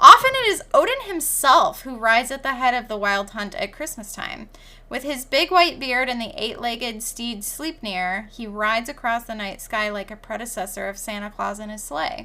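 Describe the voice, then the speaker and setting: A woman with a Midwestern American accent speaks at a moderate pace in a fairly high, bright and sharp voice, her lively intonation and big swings in loudness running on with hardly any pauses, on a very clean recording with a silent background. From US Midwest, northern Michigan. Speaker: podcast co-host. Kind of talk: reading aloud.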